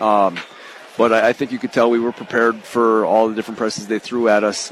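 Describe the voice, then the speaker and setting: A man talks at a moderate pace with a medium pitch and a monotone, flat delivery, over noticeable background noise. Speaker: high school basketball head coach. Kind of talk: post-game coach interview. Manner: halting, with many fillers and repeats.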